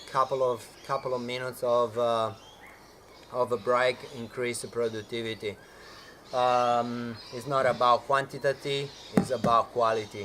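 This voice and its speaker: Amid noticeable background noise, a man with a medium pitch talks in a monotone, flat way at a moderate pace, pausing long and often. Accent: non-native. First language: not English. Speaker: fitness coach. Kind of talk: tutorial. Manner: halting, many fillers.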